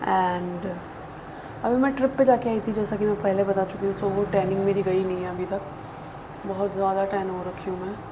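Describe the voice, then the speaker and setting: Soft-spoken, a woman talks at a moderate pace and medium pitch with fairly even intonation, amid audible room echo and noticeable background noise. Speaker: beauty YouTuber. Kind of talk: makeup tutorial chat. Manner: Hindi-English code-switching. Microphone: voice may sound quiet.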